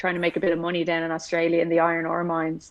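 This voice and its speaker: A woman with an Irish accent and a fairly low pitch. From Ireland. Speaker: motorsport engineer and hockey player. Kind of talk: casual chat.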